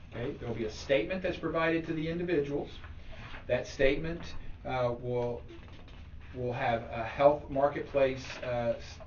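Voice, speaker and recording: A man with a fairly high pitch and ordinary pitch variation speaks with big swings in loudness and long, frequent pauses, amid noticeable background noise and audible room echo. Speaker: tax specialist giving a talk. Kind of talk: presentation to a club. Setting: meeting room, also streamed online. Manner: fast.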